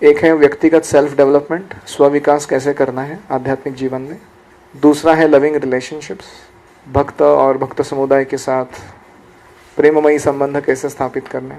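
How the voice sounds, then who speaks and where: A man talks in a flat monotone while his loudness swings widely, with noticeable background noise throughout. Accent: Marathi. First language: Marathi (speaking Hindi). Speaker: spiritual teacher. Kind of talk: lecture.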